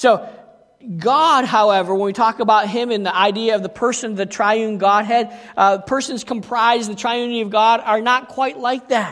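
At a moderate pace, a man with a high voice speaks with fairly even intonation. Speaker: pastor. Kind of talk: sermon.

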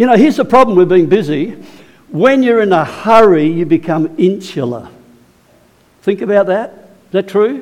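Lively intonation marks a man's speech, which has long, frequent pauses. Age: 70s. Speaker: preacher. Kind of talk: sermon. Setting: church.

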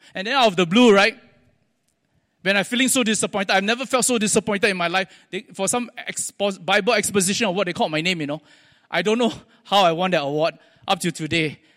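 In a very clean recording with a silent background, a man with a Singaporean accent and high pitch speaks at a very fast pace, using ordinary pitch variation and long, frequent pauses. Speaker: preacher. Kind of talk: sermon. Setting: church.

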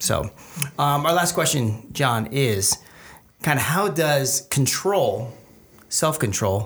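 On a very clean recording with a silent background, a man speaks very slowly in a somewhat breathy, fairly high voice at very even loudness, with long, frequent pauses. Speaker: podcast host. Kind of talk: casual chat. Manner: joking, casual.

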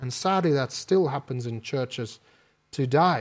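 A man with a South African accent, lively intonation and a fairly slow pace. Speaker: preacher. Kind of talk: sermon. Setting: church.

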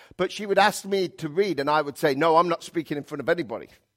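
This man has an unremarkable speaking voice with ordinary pitch variation. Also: dry, close sound with no echo. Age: 50s. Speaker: pastor. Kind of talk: sermon. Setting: church.

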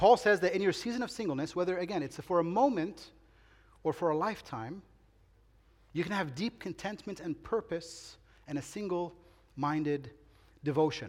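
Pausing often and at length, a man with a high pitch talks at a moderate pace with lively intonation. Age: 40s. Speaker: pastor. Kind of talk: sermon. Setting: church.

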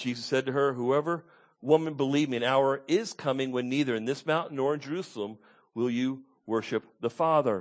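An unremarkable speaking voice with ordinary pitch variation is heard against a quiet background. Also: man. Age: 50s. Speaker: pastor. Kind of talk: sermon. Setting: church.

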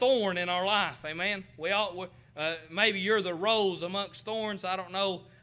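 A man with an American accent talks at a fairly slow pace in a raised, projected voice, his tone bright and sharp, his pitch high and his intonation flat and monotone. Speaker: preacher. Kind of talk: sermon. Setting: church.

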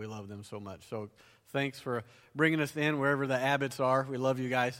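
Speaking at a moderate pace with fairly even intonation, a man has a Southern US accent. His recording is very clean, with a silent background. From US South. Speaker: conference preacher and author. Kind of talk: sermon. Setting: church stage with audience.

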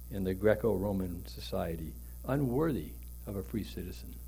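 A man talks at a moderate pace with vocal fry. There is audible room echo. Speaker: pastor. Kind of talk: sermon.

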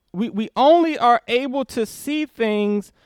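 Talking at a very slow pace, a man uses lively intonation in a very clean recording with a silent background. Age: 40s. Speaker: pastor. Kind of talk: sermon.

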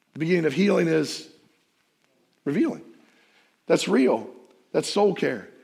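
With audible room echo, a man speaks at a moderate pace and very even loudness, leaving long, frequent pauses. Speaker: pastor. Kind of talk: sermon.

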